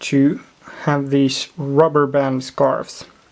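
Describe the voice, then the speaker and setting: Very slow speech in a Swedish accent. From Sweden. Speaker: LEGO hobbyist. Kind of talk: show-and-tell video walkthrough. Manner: halting, many fillers.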